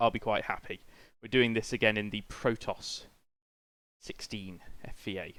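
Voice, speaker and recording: In a British accent, a man with a fairly low pitch speaks at a moderate pace with fairly even intonation and long, frequent pauses. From Britain. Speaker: video game streamer. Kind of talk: casual live-stream chat. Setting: live stream with webcam.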